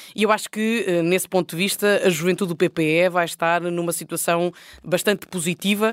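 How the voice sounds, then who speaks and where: A woman with a plain, everyday voice, fairly low in pitch, at a moderate pace, with fairly even intonation and very even loudness, on a very clean recording with a silent background. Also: dry, close sound with no echo. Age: 30s. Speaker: politician. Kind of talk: panel discussion. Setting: recorded on location at parliament.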